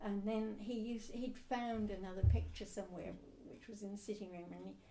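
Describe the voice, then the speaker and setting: A woman at medium pitch, fairly quick in pace, with fairly even intonation, audible room echo and noticeable background noise. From England, Suffolk. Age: 80s+. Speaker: oral history interviewee. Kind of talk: oral history interview. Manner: halting.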